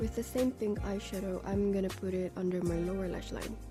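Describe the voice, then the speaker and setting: A woman's voice over music in the background. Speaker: makeup artist. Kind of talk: makeup tutorial voice-over.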